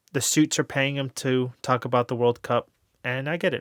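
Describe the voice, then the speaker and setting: Speaking in an ordinary speaking voice with an American accent, a man at medium pitch keeps a fairly quick pace and fairly even intonation, with a dry, close sound with no echo on a very clean recording with a silent background. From United States. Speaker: sports YouTuber. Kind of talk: casual monologue.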